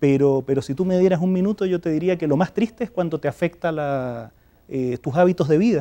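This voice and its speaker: In a Chilean accent, a man talks at a fairly quick pace with a fairly high pitch and ordinary pitch variation. His tone is dark and mellow, and the sound is dry and close with no echo. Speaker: development agency director. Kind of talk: TV interview.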